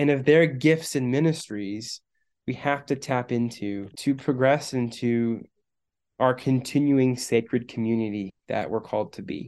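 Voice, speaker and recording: A normal speaking voice in an American accent, at a fairly slow pace with ordinary pitch variation, over a quiet background. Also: man. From Missouri and Michigan. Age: 30s. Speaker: youth minister. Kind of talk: casual chat.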